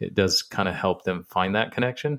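A man talks at a moderate pace with fairly low pitch and ordinary pitch variation. It is a normal speaking voice over a quiet background. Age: 40s. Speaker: business coach and motivational speaker. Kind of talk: casual chat.

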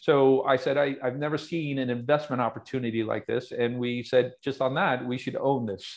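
This is a normal speaking voice delivered at a moderate pace. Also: man. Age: 50s. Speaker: investment fund manager. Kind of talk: interview.

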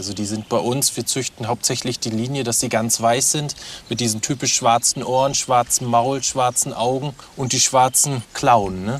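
A man with a normal speaking voice talks at a middle pitch and moderate speed, his intonation mostly level. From Mecklenburg, Waren. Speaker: nature education farm worker. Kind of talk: guided tour.

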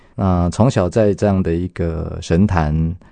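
A man speaks at a very deep, low pitch with a dark, mellow tone. His pace is moderate and his intonation fairly even. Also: quiet background. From Taiwan, Yunlin County. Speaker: elementary school principal. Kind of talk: testimony. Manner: warm, with frequent fillers.

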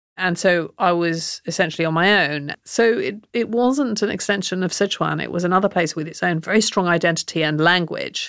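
On a very clean recording with a silent background, a woman with a southern English accent and a fairly low pitch talks with hardly any pauses and ordinary pitch variation. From England, Oxford. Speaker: cookbook author. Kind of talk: interview.

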